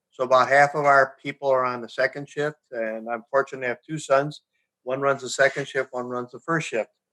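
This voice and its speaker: Speaking at a fairly quick pace with an American accent, a man uses a fairly high pitch, a bright, sharp tone and monotone, flat intonation. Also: dry, close sound with no echo. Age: 70s. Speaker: company founder and CEO. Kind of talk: interview.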